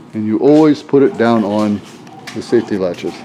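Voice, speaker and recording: With noticeable background noise, a man speaks in an American accent at a medium pitch with ordinary pitch variation. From northwestern Pennsylvania. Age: 60s. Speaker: auto mechanic. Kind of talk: casual tutorial walkthrough. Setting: garage workshop. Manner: casual, halting with fillers.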